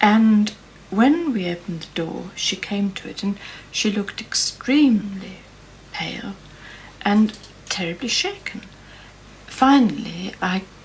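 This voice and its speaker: A woman talks at a fairly slow pace with long, frequent pauses and big swings in loudness. Her pitch varies in an ordinary way, and background noise is noticeable. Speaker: Celtic archaeology expert. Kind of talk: interview answer. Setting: archive television recording.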